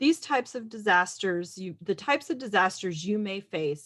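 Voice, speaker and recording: Medium-pitched for a woman, she talks at a fairly quick pace with lively intonation. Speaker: emergency manager. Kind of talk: presentation.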